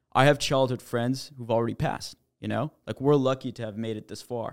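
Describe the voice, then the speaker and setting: In a Canadian accent, an unremarkable speaking voice moves at a fairly quick pace with fairly even intonation, recorded very cleanly over a silent background. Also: man. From Quebec, Montreal. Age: 20s. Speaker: startup founder. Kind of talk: casual chat.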